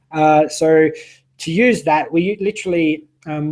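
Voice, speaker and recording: There is a man with an Australian accent whose fairly high pitch shows ordinary pitch variation. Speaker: online business owner, summit host. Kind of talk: interview. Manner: halting, many fillers.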